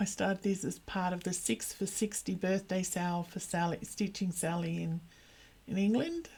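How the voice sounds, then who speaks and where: Somewhat breathy, with a dark, mellow tone, a woman of medium pitch talks at a moderate pace with fairly even intonation. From Australia. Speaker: cross stitch vlogger. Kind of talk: casual hobby update vlog.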